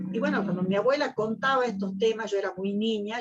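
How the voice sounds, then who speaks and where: Talking at a fairly quick pace, a woman uses a normal speaking voice, medium in pitch, with ordinary pitch variation. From Argentina. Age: 60s. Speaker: poet and singer. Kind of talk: interview.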